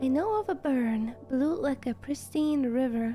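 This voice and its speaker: A soft-spoken woman's high voice at a very slow pace, with music in the background. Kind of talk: calm gaming commentary.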